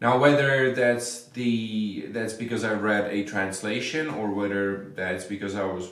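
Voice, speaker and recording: Over noticeable background noise and audible room echo, a man with a Czech accent talks fairly slowly at a fairly low pitch with fairly even intonation. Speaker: vampire researcher. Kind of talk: interview answer.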